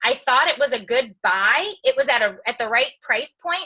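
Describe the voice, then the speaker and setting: A woman speaks at a moderate pace in a raised, projected voice with a high pitch and a bright, sharp tone. Her delivery is animated, with lively intonation. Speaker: entertainer and social media personality. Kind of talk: motivational talk on a team call. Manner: loud, outspoken.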